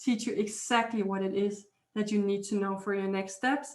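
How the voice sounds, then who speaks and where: A woman with a fairly high pitch speaks at a moderate pace, her intonation fairly even. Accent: Danish. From Denmark. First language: Danish. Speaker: healer and energy intuitive. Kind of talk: interview.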